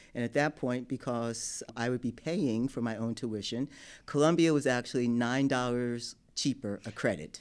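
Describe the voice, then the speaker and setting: In an American accent, a man with an ordinary speaking voice talks at a moderate pace on a very clean recording with a silent background. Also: medium pitch for a man, ordinary pitch variation. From Newark, New Jersey, US. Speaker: law school admissions dean. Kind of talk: interview.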